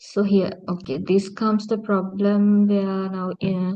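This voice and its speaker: A woman speaks at a medium pitch in a monotone with flat intonation. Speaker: university lecturer. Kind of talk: lecture. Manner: halting.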